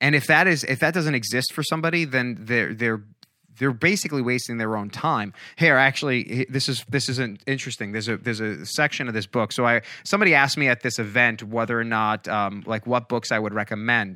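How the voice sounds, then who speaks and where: A man talks very fast at a medium pitch with ordinary pitch variation and a bright, sharp tone, in a very clean recording with a silent background. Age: 40s. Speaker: podcaster and motivational speaker. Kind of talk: casual interview chat. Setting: studio. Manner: halting, many repetitions.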